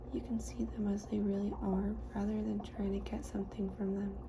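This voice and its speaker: Soft-spoken and calm in tone, the voice comes through over noticeable background noise. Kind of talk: soft-spoken ASMR audiobook reading. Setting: lofi ASMR recording. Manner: soft-spoken, calm.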